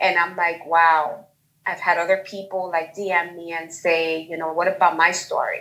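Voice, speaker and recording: A woman with a Bronx accent talks at a moderate pace in a fairly low pitch. Her tone is bright and sharp, with monotone, flat intonation. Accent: New York, Bronx. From New York, the Bronx. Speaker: guest, self-love group member. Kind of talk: personal testimony. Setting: video call.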